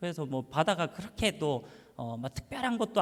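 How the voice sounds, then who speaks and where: A man talks fairly quickly in a Busan accent, his pitch high. His voice swings very widely in pitch. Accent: Gyeongsang (Busan) dialect. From Busan, South Korea (Yeongdo; Seoul until middle school). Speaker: pastor. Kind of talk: sermon. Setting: church. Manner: casual, hesitant with many fillers.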